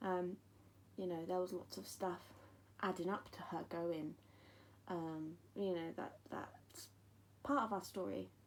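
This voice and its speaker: A woman with an English accent speaks at a fairly low pitch and fairly slow pace, in fairly even intonation with long, frequent pauses. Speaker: bereaved mother vlogger. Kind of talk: personal testimony. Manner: hesitant, many ums.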